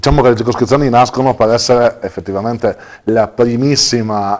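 Fairly even intonation runs through this man's speech. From Trieste, Italy. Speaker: district council member. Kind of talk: TV interview discussion. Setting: studio. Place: studio. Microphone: lapel.

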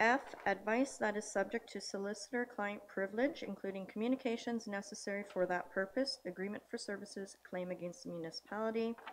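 A woman speaks at a fairly quick pace with hardly any pauses and fairly even intonation. Light background noise is present. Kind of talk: formal meeting procedure reading. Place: hall. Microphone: podium.

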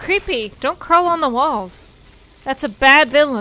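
A raised, projected voice with a bright, sharp tone and lively intonation, in a dry sound with no echo over light background noise. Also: woman. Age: 20s. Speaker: game streamer. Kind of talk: live gameplay commentary. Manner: animated. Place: home room. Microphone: studio mic.

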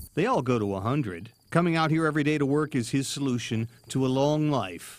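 At a fairly quick pace and with very even loudness, the speaker uses a normal speaking voice. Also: man, fairly high pitch for a man. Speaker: TV news reporter. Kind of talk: TV news feature narration.

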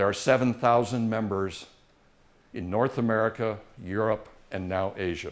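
A man speaks at a fairly slow pace. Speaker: former economics professor turned boat restorer; guest. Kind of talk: talk to a live audience. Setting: stage with audience. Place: meeting room. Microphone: camera far.

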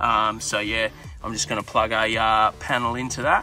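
The sound is dry with no echo as a man speaks over faint music in the background. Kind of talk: casual vlog chat. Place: car. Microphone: phone near.

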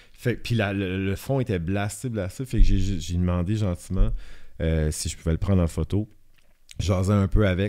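A man's very deep, low voice with a dark, mellow tone at a fairly slow pace, against a quiet background. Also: ordinary pitch variation. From Acadian Peninsula, northern New Brunswick (Shippagan); New Brunswick. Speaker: photographer; podcast guest. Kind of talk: casual chat. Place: studio. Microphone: studio mic.

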